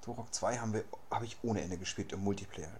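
There is audible room echo around a man's somewhat breathy voice. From Berlin. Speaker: podcast host. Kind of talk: casual chat.

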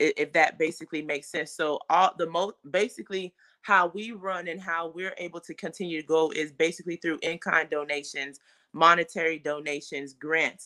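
With an American accent, a woman speaks at a moderate pace in a fairly low voice with a bright, sharp tone, fairly even intonation and big swings in loudness. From Fort Lauderdale, Florida, Haitian family. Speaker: mental health therapist and non-profit founder. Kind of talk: interview.

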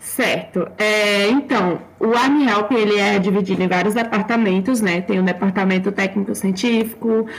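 Noticeable background noise sits behind a woman speaking at a moderate pace. Her medium-pitched voice has fairly even intonation. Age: 20s. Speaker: psychology student and fan group volunteer. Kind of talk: casual chat; informational explanation.

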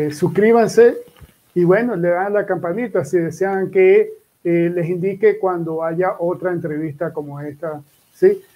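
A man's high-pitched voice, dark and mellow in tone, with fairly even intonation. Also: fairly slow pace. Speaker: interview show host. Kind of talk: interview hosting. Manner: halting, many repetitions. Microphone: echo, own voice repeating.

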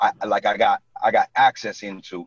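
A man in a New York accent, dry and close with no echo. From New York City (Brooklyn). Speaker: real estate agent. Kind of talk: casual interview.

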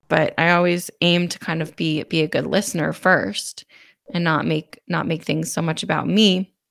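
With vocal fry in her fairly low voice, a woman talks at a moderate pace and uses ordinary pitch variation. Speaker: podcast co-host. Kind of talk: casual conversation.

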